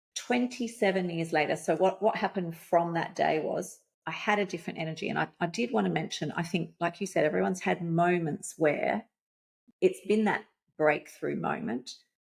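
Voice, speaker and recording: Vocal fry runs through this voice with an Australian accent. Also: woman, fairly low pitch for a woman, ordinary pitch variation, moderate pace. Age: 50s. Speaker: life coach. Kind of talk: podcast interview. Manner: animated.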